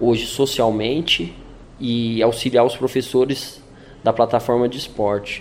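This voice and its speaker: A man with an ordinary speaking voice talks at medium pitch and a moderate pace, his intonation fairly even. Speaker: former prisoner turned sports coordinator. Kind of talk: testimony.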